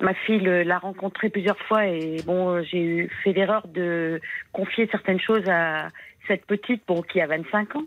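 Very slow in pace, a woman speaks with fairly even intonation. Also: medium pitch for a woman. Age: 60s. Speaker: caller. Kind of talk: testimony. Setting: phone call. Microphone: bad mobile connection.

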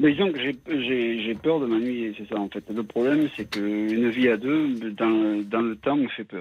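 The pitch varies in an ordinary way over a very slow pace. There are hardly any pauses. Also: man, medium pitch for a man. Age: 60s. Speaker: radio caller. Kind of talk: phone-in confession. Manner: halting.

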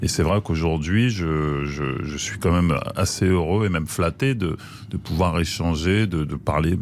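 A man's very deep, low voice moves fairly slowly, its pitch varying in an ordinary way. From France, Cameroonian family. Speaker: actor and comedian. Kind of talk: radio interview. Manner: halting.

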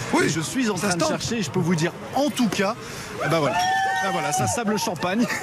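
Very fast and high-pitched, a man's voice swings very widely in pitch while its loudness stays very even. Music plays in the background, and the room echo is audible. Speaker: field reporter. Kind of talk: live reporting. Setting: outdoors by team bus, crowd.

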